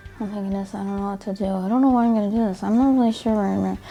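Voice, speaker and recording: A woman mumbles in a put-on character voice at a very fast pace, her pitch medium. Her intonation stays fairly even over light background noise. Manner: mumbling, muttered under the breath.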